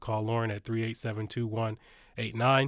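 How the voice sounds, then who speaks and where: A man with a Detroit accent, medium pitch and monotone, flat intonation, on a very clean recording with a silent background. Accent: Midwestern US (Detroit). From Detroit, Michigan. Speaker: university student-success administrator. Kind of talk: podcast interview. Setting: studio.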